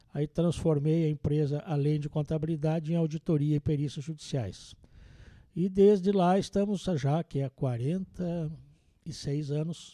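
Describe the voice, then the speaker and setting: Speaking with a southern Brazilian accent, a man with a fairly high pitch and a dark, mellow tone talks at a fairly slow pace with fairly even intonation, the sound dry and close with no echo against a quiet background. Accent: gaúcho Brazilian Portuguese. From southern Brazil, interior of Rio Grande do Sul (Vacaria). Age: 60s. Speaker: accountant and auditor. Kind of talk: podcast interview.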